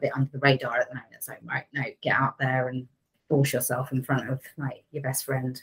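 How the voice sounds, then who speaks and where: Talking at a fairly quick pace, a woman has a very deep, low voice. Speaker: digital PR team leader. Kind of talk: casual interview chat. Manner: loud.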